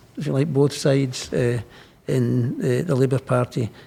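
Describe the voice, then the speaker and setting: With a Scottish accent, this somewhat breathy voice has a dark, mellow tone and moves at a moderate pace. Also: man. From Scotland. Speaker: politician, Lord Speaker. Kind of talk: interview answer. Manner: casual, anecdotal.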